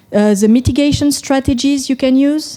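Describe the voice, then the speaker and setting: A woman speaks with a French accent and a dark, mellow tone. Her pitch variation is ordinary. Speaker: software company executive. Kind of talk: conference talk. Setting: stage with audience.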